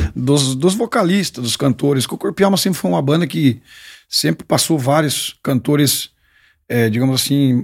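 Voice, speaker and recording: In an unremarkable speaking voice, a man talks at a medium pitch with lively intonation. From southwest Paraná, Brazil. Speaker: singer. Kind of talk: casual chat.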